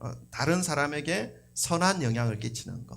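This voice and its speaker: Vocal fry colors a man's lively intonation. Room echo is audible. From South Korea. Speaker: pastor. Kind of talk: sermon. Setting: church. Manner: conversational.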